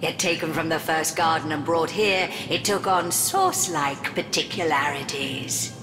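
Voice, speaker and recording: A cartoonish character voice at middle pitch is heard over loud background noise. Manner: haughty, theatrical.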